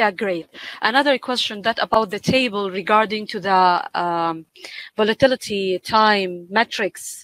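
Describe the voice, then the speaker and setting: A woman with a normal speaking voice talks at medium pitch with ordinary pitch variation. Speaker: event moderator. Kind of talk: webinar Q&A. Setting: video call.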